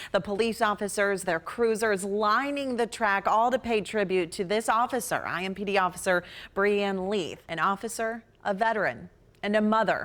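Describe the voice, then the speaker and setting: A woman with an ordinary speaking voice talks at a moderate pace. Her pitch is medium and her intonation fairly even. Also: very clean recording, silent background. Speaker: news anchor. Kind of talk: TV news anchoring.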